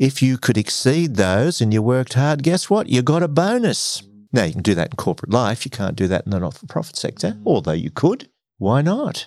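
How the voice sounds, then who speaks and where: Medium-pitched male voice in an Australian accent, very wide pitch swings, fairly quick pace, on a very clean recording with a silent background. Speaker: former broadcaster and executive. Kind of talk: interview conversation.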